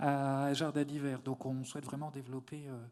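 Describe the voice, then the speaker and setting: Over a very clean recording with a silent background, a man talks at a fairly quick pace in a dark, mellow tone. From eastern France. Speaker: poultry sector representative. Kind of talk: round table discussion. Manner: halting.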